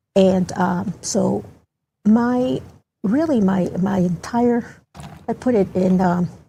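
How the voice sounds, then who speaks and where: A dark, mellow tone marks this voice. There is a somewhat breathy quality to it. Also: woman. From Baltimore County, Maryland (born El Salvador, moved at 10). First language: Spanish. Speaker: community advocate, guest. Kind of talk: interview. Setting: studio.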